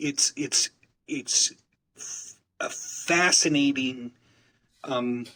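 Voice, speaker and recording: A man with an American accent talks at a very slow pace, leaving long, frequent pauses. His fairly high, bright, sharp voice has fairly even intonation and a dry, close sound with no echo. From Utah. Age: 60s. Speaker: community networker and business developer. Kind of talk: interview conversation. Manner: halting, many fillers and repetitions.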